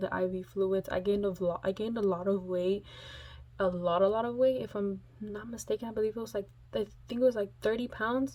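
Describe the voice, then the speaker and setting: Her intonation fairly even, a woman talks at a medium pitch and moderate pace. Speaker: vlogger. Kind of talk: casual storytelling vlog.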